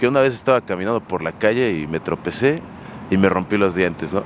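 With lively intonation, a man talks at a very fast pace over noticeable background noise. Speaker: rock musician. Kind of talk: street interview.

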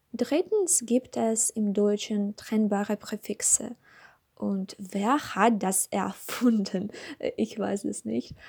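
Very slowly, a woman with a Russian accent speaks at a fairly high pitch, somewhat breathy and with a dark, mellow tone and ordinary pitch variation. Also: dry, close sound with no echo. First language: Russian (speaking German). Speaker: language learner. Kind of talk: scripted monologue. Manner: halting.

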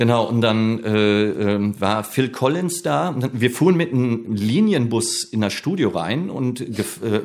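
This is an unremarkable speaking voice. It moves at a fairly slow pace with lively intonation. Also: man. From Ruhr area, Germany (Bochum). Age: 50s. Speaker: comedian and flamenco guitarist. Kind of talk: casual interview chat.

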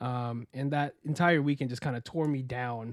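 A man with a plain, everyday voice, a medium pitch and an American accent speaks with fairly even intonation, the sound dry and close with no echo on a very clean recording with a silent background. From Florida. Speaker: podcast host. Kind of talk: casual chat.

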